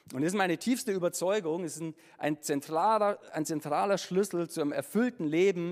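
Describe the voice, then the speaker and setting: A man talks at a very fast pace and a high pitch, with ordinary pitch variation. The recording is very clean with a silent background. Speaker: preacher; musician and former pastor. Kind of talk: sermon. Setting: church with congregation. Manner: casual, animated, chatty; warm, humorous, conversational.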